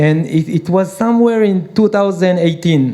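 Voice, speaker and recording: Pitch varies in an ordinary way in this voice with an Israeli accent, set against noticeable background noise. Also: man. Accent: Hebrew. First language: Hebrew. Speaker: peace activist and entrepreneur. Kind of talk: panel discussion. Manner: hesitant.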